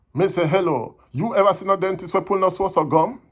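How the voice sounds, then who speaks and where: At a moderate pace, a man talks in a high pitch with a Jamaican accent. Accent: Jamaican Patois. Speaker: poetry reader. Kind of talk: poetry reading.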